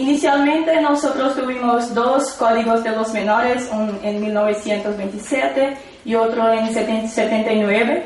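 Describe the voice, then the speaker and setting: With a Portuguese accent, a woman talks at a moderate pace with ordinary pitch variation and hardly any pauses, over noticeable background noise and audible room echo. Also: fairly high pitch for a woman. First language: Portuguese (speaking Spanish). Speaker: psychology researcher. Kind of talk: conference talk. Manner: halting.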